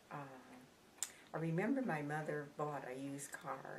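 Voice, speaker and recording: Audible room echo and noticeable background noise surround a woman with an American accent who speaks at a moderate pace in a very deep, low voice. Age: 80s+. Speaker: interviewee recalling the Depression. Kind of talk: oral history interview. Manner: halting.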